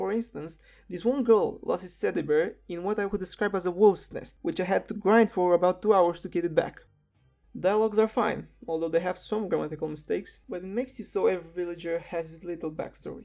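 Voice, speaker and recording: Over background music, a woman with a non-native accent talks at a fairly quick pace, her medium pitch showing ordinary variation. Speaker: game reviewer. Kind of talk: video game review narration.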